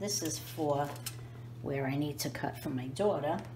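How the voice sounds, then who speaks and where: With a New York accent, a woman speaks with lively intonation over noticeable background noise and audible room echo. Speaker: home cooking youtuber. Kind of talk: cooking tutorial. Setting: home kitchen. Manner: casual, chatty.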